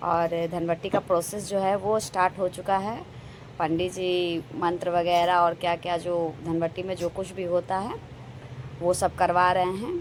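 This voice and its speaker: A woman talks fairly slowly at a fairly low pitch. Her intonation is monotone and flat. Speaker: family vlogger. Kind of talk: vlog narration.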